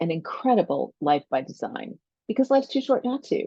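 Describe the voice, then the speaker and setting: Lively intonation and a fairly quick pace mark this woman's unremarkable speaking voice. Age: 60s. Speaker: life coach and podcast host. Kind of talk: solo podcast monologue. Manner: conversational.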